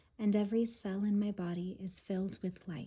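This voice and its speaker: The voice is soft-spoken and somewhat breathy, with a dark, mellow, soothing tone, monotone, flat intonation and a very slow pace. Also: woman. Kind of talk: soft-spoken reading of quotes and affirmations for relaxation. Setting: home recording for relaxation and sleep. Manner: soft-spoken, soothing.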